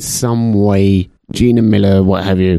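This man has a London accent and a dark, mellow tone with fairly even intonation. The sound is dry and close, with no echo. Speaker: podcast host. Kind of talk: casual chat.

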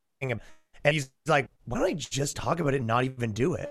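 A man speaks with a fairly high pitch. His tone is bright and sharp. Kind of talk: casual chat. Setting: video call.

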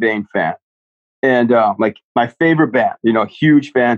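Here a man speaks with an American accent. He uses a normal speaking voice at a moderate pace. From Florida, Flagler Beach. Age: 30s. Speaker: bassist. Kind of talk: casual chat.

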